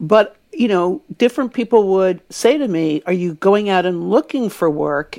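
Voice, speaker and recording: Using an ordinary speaking voice, a woman talks at a moderate pace and medium pitch with lively intonation. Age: 60s. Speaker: author and publishing editor. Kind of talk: casual interview chat.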